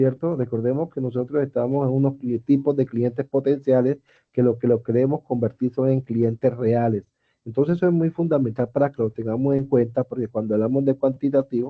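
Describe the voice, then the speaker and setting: It is an unremarkable speaking voice. The pace is fairly quick and the intonation fairly even. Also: man, medium pitch for a man. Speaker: teacher. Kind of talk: online class lecture.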